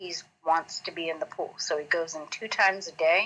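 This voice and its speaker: With an American accent, a woman speaks in a normal speaking voice at a fairly low pitch. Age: 40s. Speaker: boxing chef and bodybuilder. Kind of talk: interview. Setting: live stream.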